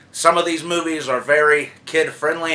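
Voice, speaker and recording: A man is speaking, and noise is clearly audible in the background. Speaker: YouTube movie reviewer. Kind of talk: casual vlog monologue.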